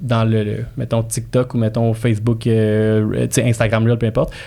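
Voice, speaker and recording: A man speaks at a fairly slow pace, with a dark, mellow tone. His voice is somewhat breathy. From immigrant to Quebec. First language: not French (speaking French). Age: 30s. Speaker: real estate broker and marketing specialist. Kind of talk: podcast interview, casual chat. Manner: animated, repetitive fillers.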